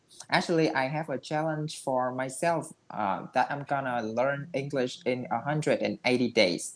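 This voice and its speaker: With a Vietnamese accent, the speaker goes at a moderate pace on a very clean recording with a silent background. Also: man. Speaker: English learner. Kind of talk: language practice conversation with commentary. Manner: halting.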